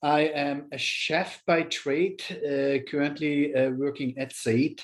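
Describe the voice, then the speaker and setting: Very slow speech in a German accent, with fairly even intonation. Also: man, fairly high pitch for a man. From Germany. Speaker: chef and culinary instructor. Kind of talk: webinar panel talk. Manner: halting, many fillers.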